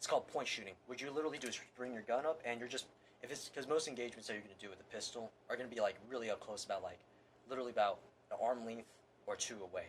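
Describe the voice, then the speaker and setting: Very fast speech from a man, medium in pitch, with ordinary pitch variation. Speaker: firearms instructor. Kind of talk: tutorial. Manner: casual, rambling demonstration.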